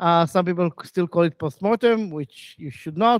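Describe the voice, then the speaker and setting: Here a man speaks in a high pitch at a moderate pace. The sound is dry with no echo, and the background is quiet. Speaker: conference speaker. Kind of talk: lecture. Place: hall.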